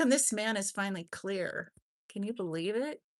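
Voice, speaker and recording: Lively intonation comes through a dry, close sound with no echo against a quiet background. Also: woman. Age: 60s. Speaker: true crime livestream host. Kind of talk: casual livestream chat. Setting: live stream with chat. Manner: halting, many fillers.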